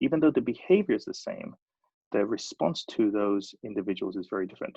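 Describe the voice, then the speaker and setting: A man with a British accent talks at a fairly quick pace. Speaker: design studio leader. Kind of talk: presentation.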